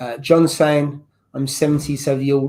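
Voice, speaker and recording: An English accent at a moderate pace. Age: 30s. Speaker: livestream host. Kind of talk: casual chat.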